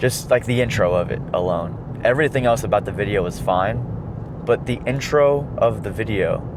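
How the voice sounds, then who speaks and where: A man's medium-pitched voice comes through at a moderate speed, with noticeable noise in the background. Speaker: car vlogger. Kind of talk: casual chat while driving. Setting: in a car. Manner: talkative.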